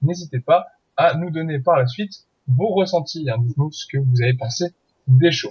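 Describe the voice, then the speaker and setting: Somewhat breathy, a man speaks at a fairly slow pace. His voice sits fairly high, with ordinary pitch variation. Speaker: podcast host. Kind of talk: podcast outro and announcements.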